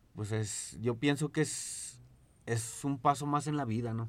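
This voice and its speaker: His intonation is fairly even, at a medium pitch. The man talks in a plain, everyday voice. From Zacatecas, Mexico. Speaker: DJ and music producer. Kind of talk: casual chat.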